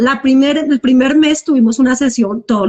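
A woman's high-pitched voice at a moderate pace. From Colombia. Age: 40s. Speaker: cosmetologist sharing recovery story. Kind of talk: testimony. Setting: live Instagram video call.

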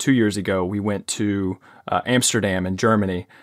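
With a Southern US accent, a man talks at a moderate pace in a monotone, flat intonation at a fairly low pitch, recorded very cleanly with a silent background and a dry, close sound with no echo. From US South. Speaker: podcast host and fitness coach. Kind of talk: casual interview. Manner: halting, many repetitions.

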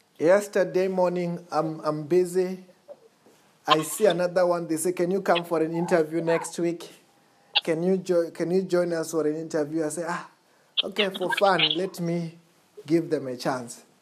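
A voice speaks at a moderate pace in a monotone, flat intonation, with noticeable background noise behind it. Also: woman. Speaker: pastor. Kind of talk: fervent call-and-response deliverance prayer, congregation repeating each line. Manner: emphatic, commanding proclamations.

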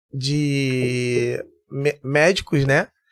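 The voice of a man, fairly high-pitched, comes through dry and close with no echo. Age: 50s. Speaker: security chief and military firefighter. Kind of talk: casual interview chat.

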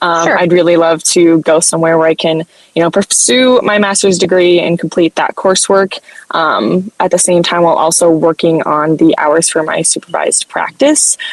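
A woman with an American accent at a moderate pace, ordinary pitch variation, very even loudness, and a dry, close sound with no echo. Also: fairly low pitch for a woman. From US Midwest, southern Iowa. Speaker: dietetics student. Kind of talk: interview. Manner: hesitant, many fillers.

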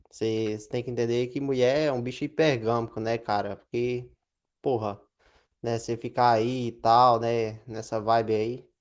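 The speech is fairly slow and monotone with flat intonation against a quiet background. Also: man, medium pitch for a man. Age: 20s. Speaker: podcast guest. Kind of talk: casual chat.

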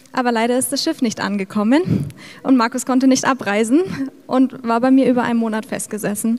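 A woman's high-pitched voice at a fairly quick pace with ordinary pitch variation, over noticeable background noise. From Middle Franconia, Bavaria. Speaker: missionary. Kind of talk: testimony. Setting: church service.

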